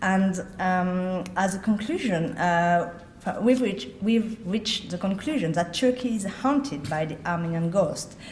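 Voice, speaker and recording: Somewhat breathy speech with a non-native accent, lively intonation and a fairly slow pace, with audible room echo. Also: woman, medium pitch for a woman. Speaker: journalist and author. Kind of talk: conference speech.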